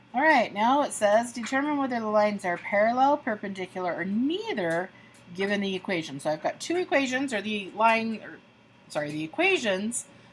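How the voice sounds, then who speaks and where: Noticeable background noise sits behind a woman speaking at a fairly quick pace. Her pitch is medium and her intonation lively. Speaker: math teacher. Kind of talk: tutorial.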